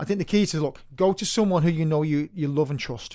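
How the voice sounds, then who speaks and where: With a Manchester accent, a man speaks at a fairly quick pace with ordinary pitch variation. His voice is fairly high in pitch, with a dark, mellow tone. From Manchester, northern England. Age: 40s. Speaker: personal trainer. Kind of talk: casual interview chat. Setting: studio.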